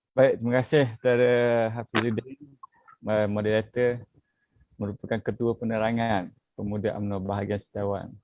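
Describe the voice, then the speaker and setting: The sound is dry and close, with no echo. A medium-pitched man talks at a moderate pace with monotone, flat intonation. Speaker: youth politician. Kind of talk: online panel discussion. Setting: Facebook live video call. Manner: hesitant, many fillers.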